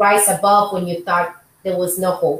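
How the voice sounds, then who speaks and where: A woman talks with a Spanish accent. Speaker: podcast host, doctor. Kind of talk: casual interview chat.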